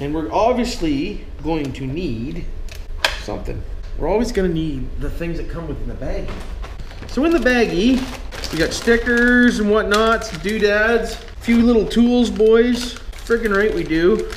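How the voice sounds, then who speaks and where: A man's high voice with lively intonation, a fairly slow pace and light background noise. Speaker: RC hobby vlogger. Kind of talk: casual talk to camera. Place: garage. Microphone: camera far.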